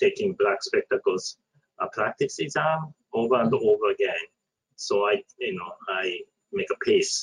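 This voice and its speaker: Speaking at a fairly slow pace with a Japanese accent, a man comes through in a dry, close sound with no echo. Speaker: architect and panelist. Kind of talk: panel discussion. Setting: online webinar.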